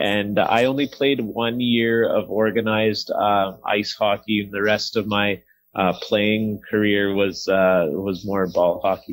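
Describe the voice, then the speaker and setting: In a plain, everyday voice, the speaker goes at a fairly slow pace with hardly any pauses and fairly even intonation. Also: man, fairly low pitch for a man. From Canada (small-town Alberta). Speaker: hockey play-by-play announcer. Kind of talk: podcast interview answer.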